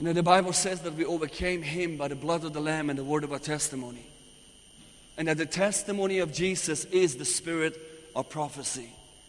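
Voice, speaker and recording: With a Persian accent, a man talks in an animated tone at a fairly quick pace and a fairly high pitch. Noticeable background noise runs underneath. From Iran. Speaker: visiting preacher. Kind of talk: sermon. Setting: church.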